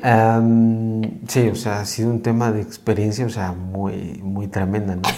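In a room with audible echo and noticeable background noise, a man speaks at a fairly slow pace in a fairly low, flat monotone. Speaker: psychologist, host's husband. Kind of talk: casual chat.

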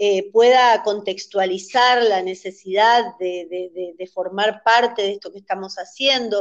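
A woman talks in an unremarkable speaking voice. Her pace is fairly slow and her intonation fairly even. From Argentina, Misiones. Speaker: dance teacher and choreographer. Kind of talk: interview.

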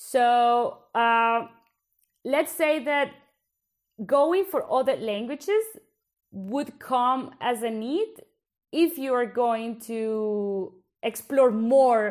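Speaking very slowly in a Colombian accent, a woman with a high pitch and ordinary pitch variation takes long, frequent pauses. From Bogota, Colombia. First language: Spanish. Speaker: podcast host, PhD researcher. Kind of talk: casual conversational podcast chat.

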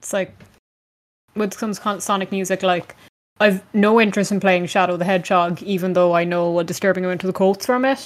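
In a very clean recording with a silent background, a woman at medium pitch uses fairly even intonation in an unremarkable speaking voice. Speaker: podcast host. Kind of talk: casual chat.

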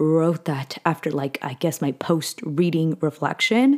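Over a silent background in a very clean recording, a woman with a very deep, low pitch speaks at a fairly slow pace. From California (SoCal). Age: 20s. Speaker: podcast host and content creator. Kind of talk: casual solo podcast monologue. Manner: chatty, filler-heavy with self-corrections.

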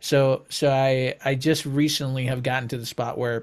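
A man's plain, everyday voice at medium pitch and moderate pace, fairly even in intonation, on a very clean recording with a silent background. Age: 30s. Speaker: podcast host and songwriter. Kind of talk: casual interview.

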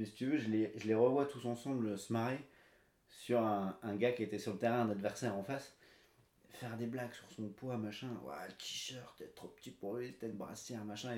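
Delivered at a moderate speed with normal rises and falls, this is a normal speaking voice. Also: man. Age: 30s. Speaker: amateur runner, salesman. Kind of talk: casual interview.

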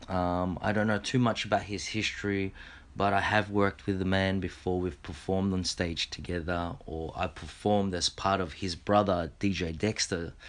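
In an Australian accent, a man speaks at a moderate pace with a very deep, low pitch and fairly even intonation. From Australia, Filipino heritage. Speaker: podcast host. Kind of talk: casual monologue; reading aloud. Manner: halting, many repetitions and fillers.

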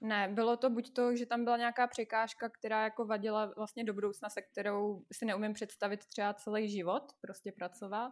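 Here a woman talks in a fairly high pitch, flat and monotone. Her pace is fairly quick, with hardly any pauses. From Russia. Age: 20s. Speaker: political PR worker and social media personality. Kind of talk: casual chat.

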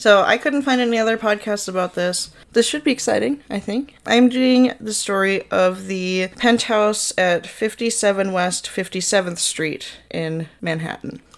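Woman with a Minnesotan accent, fairly high in pitch, at a fairly slow pace with ordinary pitch variation and hardly any pauses. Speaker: podcast host. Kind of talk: casual storytelling.

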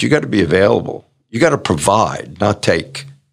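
Vocal fry colors a man's speech. His intonation stays lively. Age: 70s. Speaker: performance coach and author. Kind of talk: interview. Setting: remote call.

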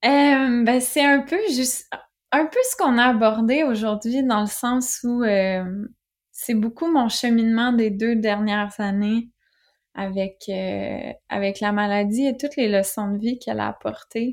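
With a Quebec accent, a woman speaks very slowly at a fairly high pitch with ordinary pitch variation, on a very clean recording with a silent background. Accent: Québécois French. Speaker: author and entrepreneur. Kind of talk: interview.

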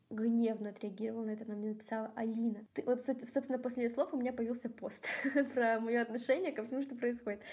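A woman talks at a very fast pace. Her voice is fairly high, with fairly even intonation. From Kazakhstan. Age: 20s. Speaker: student. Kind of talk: casual chat. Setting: remote call.

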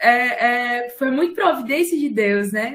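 A woman speaks with a high pitch at a fairly slow pace. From Fortaleza, Ceará, Brazil. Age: 20s. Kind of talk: casual chat.

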